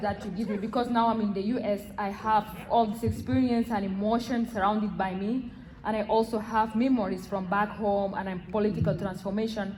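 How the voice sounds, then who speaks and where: With audible room echo and noticeable background noise, a woman talks at a moderate pace, her fairly high pitch showing ordinary pitch variation. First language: not English. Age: young. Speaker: audience member. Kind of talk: audience question. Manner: halting.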